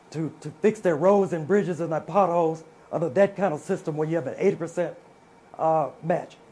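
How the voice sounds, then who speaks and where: This man, in a Mississippi accent, has a high voice with a dark, mellow tone. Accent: Southern US (Mississippi). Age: 60s. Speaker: politician. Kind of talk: political debate.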